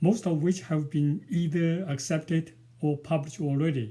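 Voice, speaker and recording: Speaking with a strong Chinese accent, a man has a dark, mellow tone, a fairly high pitch and ordinary pitch variation. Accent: Chinese, strong village. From rural China. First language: Mandarin. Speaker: novelist and poet. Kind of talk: prepared talk to camera. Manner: halting, many fillers.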